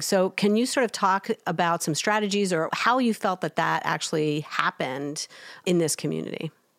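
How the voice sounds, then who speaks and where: In a plain, everyday voice with ordinary pitch variation, the speaker is heard on a very clean recording with a silent background. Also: woman. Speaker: podcast co-host, education researcher. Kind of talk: casual podcast chat.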